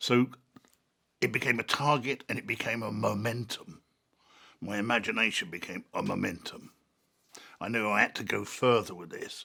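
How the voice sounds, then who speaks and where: A man with a London accent talks at medium pitch and a moderate pace, leaving long, frequent pauses. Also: ordinary pitch variation. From London, south-east England. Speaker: artist and writer. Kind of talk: personal interview narration. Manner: halting.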